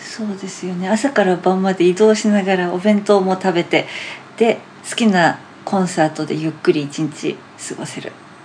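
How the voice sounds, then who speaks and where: A woman at a moderate pace with big swings in loudness, over noticeable background noise. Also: medium pitch for a woman, ordinary pitch variation. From Japan, Hamamatsu (Shizuoka), with four childhood years in the US. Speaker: classical pianist. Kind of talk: casual interview. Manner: laughs often.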